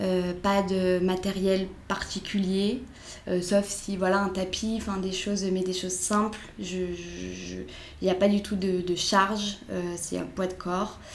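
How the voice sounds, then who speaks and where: A woman's monotone, flat voice at medium pitch, very slow in pace, with audible room echo and noticeable background noise. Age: 20s. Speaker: sports coach. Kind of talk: interview. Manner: hesitant.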